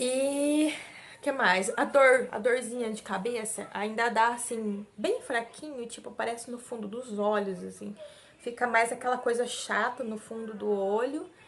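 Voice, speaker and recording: A woman with a fairly high voice talks rather slowly and keeps her intonation mostly level, while clear background noise carries on behind her. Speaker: vlogger, mother. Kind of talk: casual vlog talk to camera. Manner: weak, struggles to speak at length.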